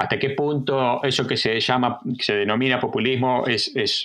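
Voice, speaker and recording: Fairly slow speech from a man, medium in pitch. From Argentina. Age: 50s. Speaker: historian. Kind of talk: interview. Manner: halting.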